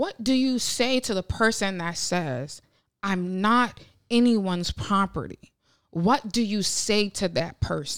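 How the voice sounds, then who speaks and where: With an American accent, a woman speaks very slowly at a medium pitch and with lively intonation, on a very clean recording with a silent background. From Ohio, US Midwest. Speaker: podcast co-host. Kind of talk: casual chat.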